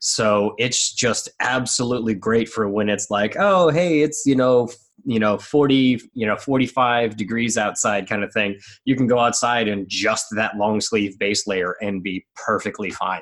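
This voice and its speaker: This is a plain, everyday voice moving at a fairly slow pace with ordinary pitch variation. The recording is very clean, with a silent background. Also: man, medium pitch for a man. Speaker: obstacle racer. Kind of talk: casual chat.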